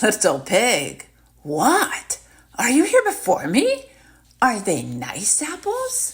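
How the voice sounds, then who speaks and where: The speaker puts on a character voice pitched fairly high. Delivery is very slow. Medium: read story. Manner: sly, coaxing.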